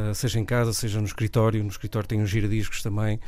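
The man's tone is dark and mellow, set at a medium pitch. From northern Portugal (Leça da Palmeira). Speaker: record collector and DJ. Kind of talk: radio interview. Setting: radio studio.

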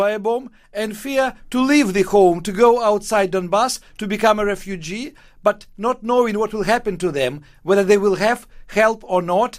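A high-pitched man speaks fairly slowly, his pitch varying in an ordinary way. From Ukraine. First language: Russian (speaking Portuguese). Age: 60s. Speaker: novelist. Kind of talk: interview.

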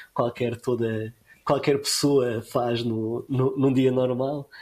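A man speaks at a medium pitch with a dark, mellow tone. His delivery is monotone and flat, captured in a very clean recording with a silent background. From Madeira, Portugal (Funchal). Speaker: conservation biologist. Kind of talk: interview.

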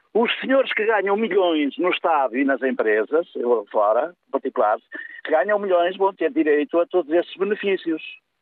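Moderate pace from a man, high in pitch and swinging very widely up and down. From northern Portugal. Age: 70s. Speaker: radio phone-in caller. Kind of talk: phone-in call. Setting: phone call.

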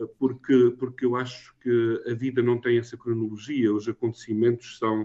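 A man delivers his words at a moderate pace, his intonation monotone and flat. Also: medium pitch for a man, hardly any pauses. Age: 60s. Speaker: novelist. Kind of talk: interview. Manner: halting, many fillers and repetitions.

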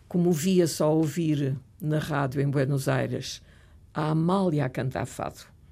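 A woman speaks at a fairly slow pace in a very deep, low voice. Her tone is dark and mellow, with vocal fry. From Portugal, Lisbon. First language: French (speaking Portuguese). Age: 70s. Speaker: retired professor and writer. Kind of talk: interview.

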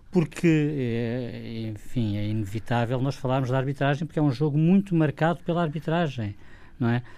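A dark, mellow tone with ordinary pitch variation moves at a moderate pace in a very clean recording with a silent background. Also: man, medium pitch for a man. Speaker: football pundit, club fan. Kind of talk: radio debate.

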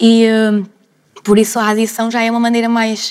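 A woman's fairly high-pitched voice, dry and close with no echo. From Porto, Portugal. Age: 20s. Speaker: university student. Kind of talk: panel discussion.

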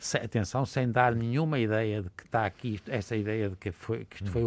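The speaker has an ordinary speaking voice at a moderate pace. The recording is very clean, with a silent background. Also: man. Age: 60s. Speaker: physician. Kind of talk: panel discussion.

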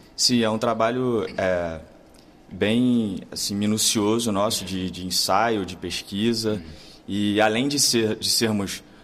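A man's fairly low voice at a fairly slow pace. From Brazil, Rio de Janeiro. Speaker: actor. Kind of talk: interview. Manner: halting.

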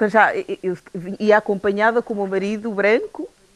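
A woman in a normal speaking voice talks at a fairly slow pace and medium pitch with fairly even intonation. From Guinea-Bissau. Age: 40s. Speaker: development consultant. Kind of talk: radio panel discussion.

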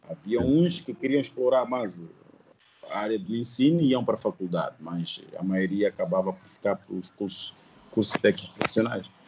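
A man speaks at a moderate pace in a medium-pitched voice that swings very widely up and down. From Mozambique, Sofala (Buzi). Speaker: painter. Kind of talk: interview.

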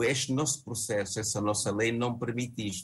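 A man's medium-pitched voice sounds somewhat breathy. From Angola. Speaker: opposition party leader. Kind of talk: televised panel debate.

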